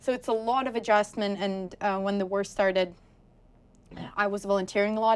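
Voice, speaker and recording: On a very clean recording with a silent background, a woman speaks at a moderate pace and medium pitch in a monotone, flat intonation. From Ukraine. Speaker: graduate student. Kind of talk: oral history interview answer.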